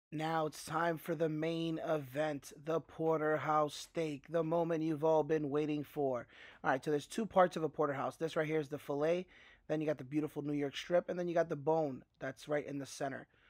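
A man's monotone, flat delivery at a moderate pace, dry with no echo, against a quiet background. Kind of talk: tutorial. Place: kitchen.

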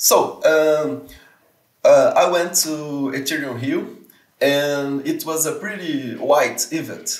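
A man with a Portuguese accent at a very slow pace, with audible room echo and a quiet background. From Brazil, Serra (Espírito Santo); Brazil. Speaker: community manager and researcher; interview guest. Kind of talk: casual interview. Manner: halting, frequent repetitions and fillers. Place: home room.

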